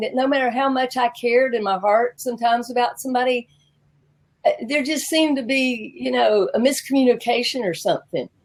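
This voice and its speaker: A high-pitched woman with a Southern US accent at a fairly quick pace, with ordinary pitch variation. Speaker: business coach. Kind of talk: interview.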